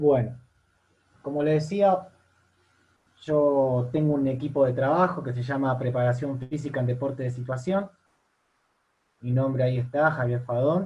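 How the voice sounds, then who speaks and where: Slow-ish and somewhat breathy, the voice has a dark, mellow tone, ordinary pitch variation, and long, frequent pauses. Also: man, medium pitch for a man. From Argentina. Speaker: university lecturer and fitness coach. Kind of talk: online seminar lecture. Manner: hesitant, repeats words.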